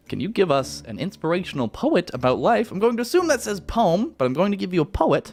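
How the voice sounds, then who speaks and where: A man with a high pitch talks at a very fast pace, his pitch swinging very widely. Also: hardly any pauses. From Canada. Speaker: YouTuber. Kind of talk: casual Q&A chat. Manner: casual, filler-heavy.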